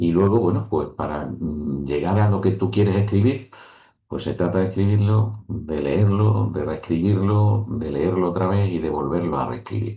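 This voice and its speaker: A man with a very deep, low pitch, ordinary pitch variation and a fairly slow pace. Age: 60s. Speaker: author and professor. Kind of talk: interview.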